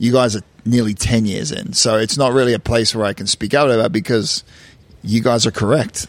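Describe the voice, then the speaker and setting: A man uses an ordinary speaking voice of medium pitch with ordinary pitch variation. He talks at a fairly quick pace. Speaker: reality TV cast member. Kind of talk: casual interview.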